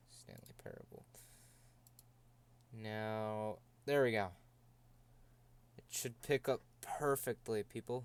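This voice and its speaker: A man speaks at a very slow pace with long, frequent pauses, fairly even intonation and big swings in loudness. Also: medium pitch for a man. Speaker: video game streamer. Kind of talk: live gaming stream commentary. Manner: monotone.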